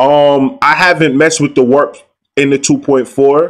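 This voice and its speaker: Relaxed in tone, a man talks at a fairly slow pace with ordinary pitch variation. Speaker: beatmaker and YouTuber. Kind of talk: live stream tutorial and review. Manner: loud; casual, relaxed.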